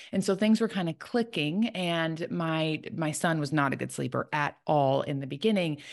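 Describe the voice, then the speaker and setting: A woman with an American accent and an ordinary speaking voice, fairly low in pitch, speaks at a moderate pace with ordinary pitch variation and hardly any pauses against a quiet background. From Chicago, US Midwest. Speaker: sleep consultant. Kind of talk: casual interview.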